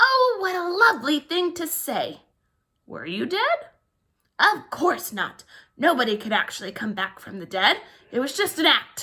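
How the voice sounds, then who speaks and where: A woman puts on a character voice with a dramatic tone and extremely high pitch. Her pitch swings very widely and her loudness rises and falls in big swings. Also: moderate pace. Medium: read story. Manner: dramatic, chatty.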